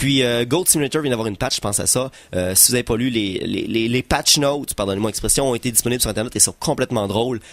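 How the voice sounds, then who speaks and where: Very fast delivery with ordinary pitch variation. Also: man, medium pitch for a man. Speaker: radio co-host. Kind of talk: casual radio banter.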